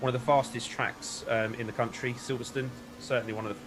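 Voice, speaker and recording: The speech runs at a fairly quick pace with monotone, flat intonation. Music plays in the background. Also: man. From UK. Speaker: sim racing commentator. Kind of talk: live commentary. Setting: live stream commentary box. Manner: casual, hesitant with fillers.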